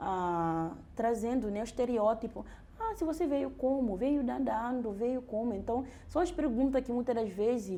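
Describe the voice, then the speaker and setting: Her pitch fairly high and her tone dark and mellow, a woman speaks amid audible room echo. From Guinea-Bissau. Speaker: doctoral researcher. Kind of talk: interview conversation, personal testimony. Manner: halting, with repetitions and restarts.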